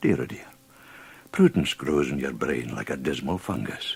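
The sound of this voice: Putting on a character voice, a man speaks at a moderate pace with an extremely low pitch, a husky, rough edge, vocal fry and big pitch swings.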